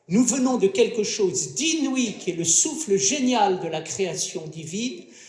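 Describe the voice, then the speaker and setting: Very slow delivery with audible room echo. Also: man. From France. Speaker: philosopher, round-table panelist. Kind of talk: round-table talk. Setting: stage with audience at a festival. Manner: formal.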